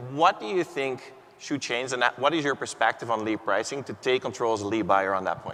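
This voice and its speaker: Amid noticeable background noise, a man with a Dutch accent talks at a fairly quick pace. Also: medium pitch for a man, ordinary pitch variation. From Netherlands. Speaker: panel moderator. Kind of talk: keynote panel discussion. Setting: stage with audience.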